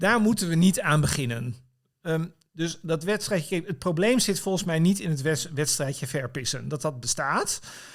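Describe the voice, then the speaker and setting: Using lively intonation, a man speaks at a fairly high pitch and a moderate pace. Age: 50s. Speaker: political commentator and writer. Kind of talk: casual chat. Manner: halting.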